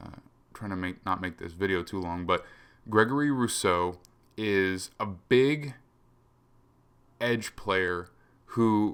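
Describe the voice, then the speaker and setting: A fairly low-pitched man at a very slow pace, with long, frequent pauses, big swings in loudness and ordinary pitch variation. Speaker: football analyst podcast host. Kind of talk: solo analysis commentary. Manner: casual with fillers.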